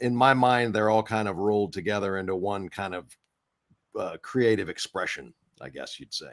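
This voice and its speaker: A man's fairly low voice at a moderate pace, with ordinary pitch variation and big swings in loudness. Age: 60s. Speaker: voice actor and actor. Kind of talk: interview. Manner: halting, many fillers.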